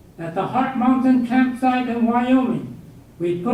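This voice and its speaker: Someone with an American accent talks at a moderate pace with ordinary pitch variation. Audible room echo and noticeable background noise are present. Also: man. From southern California (El Monte). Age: 80s+. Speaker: guest speaker, war internment survivor and veteran. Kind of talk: lecture. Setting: university lecture hall with audience.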